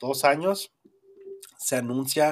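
With a northern Mexican accent, a man talks at a very slow pace with ordinary pitch variation. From northern Mexico. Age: 30s. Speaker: podcast host. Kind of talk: casual chat.

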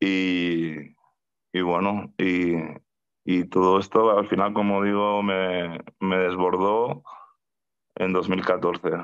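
Over a quiet background, a man with a very deep, low pitch speaks very slowly in a flat monotone, pausing long and often. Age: 40s. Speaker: mental health activist. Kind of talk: testimony. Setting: video call. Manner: halting, with frequent repetitions and fillers. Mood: calm, reflective. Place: home room. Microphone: video call.

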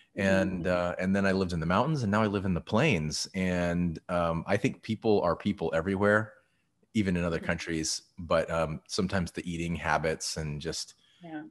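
A man with an American accent talks at a moderate pace in a very deep, low voice. His pitch varies in an ordinary way over a quiet background. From Texas. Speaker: conductor and interviewer. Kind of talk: casual chat. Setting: video call. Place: home room.

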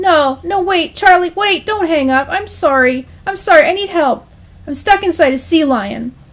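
A man puts on a squeaky character voice at an extremely high pitch. He speaks at a fairly slow pace. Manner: nervous, panicky whine.

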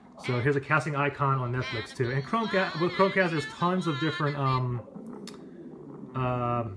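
Noticeable background noise accompanies a man speaking fairly quickly, his pitch varying in an ordinary way. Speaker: tech reviewer. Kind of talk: tutorial. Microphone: phone near.

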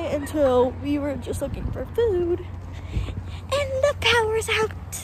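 A woman speaks with an American accent. The sound is dry with no echo, and there is noticeable background noise. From Florida. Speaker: vlogger. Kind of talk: casual travel vlog narration. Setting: outdoors. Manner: animated. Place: street. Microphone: phone near.

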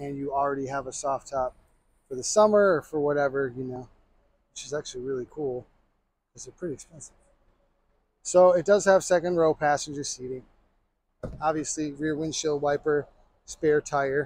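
In a dry recording with no echo, a man speaks at a moderate pace with fairly even intonation and long, frequent pauses. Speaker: car salesperson. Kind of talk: vehicle walkaround commentary. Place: street. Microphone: phone near.

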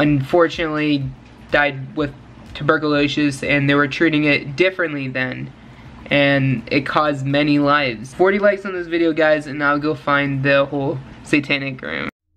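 A man talks with fairly even intonation, keeping a moderate pace. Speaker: video creator. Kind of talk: casual vlog chat. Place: home room. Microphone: webcam.

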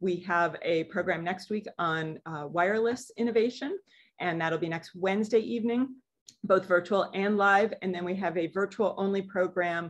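A woman, heard over a quiet background, keeps a moderate pace and ordinary pitch variation. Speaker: museum educator. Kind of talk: lecture. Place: office. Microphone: webcam.

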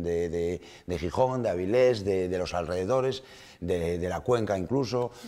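Very deep, low pitch from a man, with ordinary pitch variation. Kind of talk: interview answer. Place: studio.

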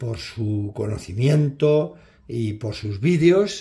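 A man's somewhat breathy voice with a dark, mellow tone and very wide pitch swings over a quiet background. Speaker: knife collector reviewer. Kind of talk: casual product showcase. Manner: halting, with many fillers.

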